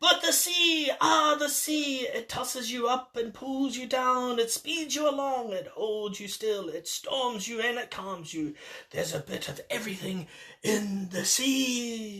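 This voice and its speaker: The speaker uses a put-on character voice at a fairly high pitch. The pace is fairly slow. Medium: read story. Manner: salty, hearty.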